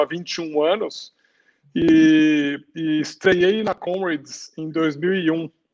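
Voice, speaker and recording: The man's voice is high-pitched. The sound is dry and close, with no echo. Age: 40s. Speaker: civil engineer and ultramarathon runner. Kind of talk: live interview chat.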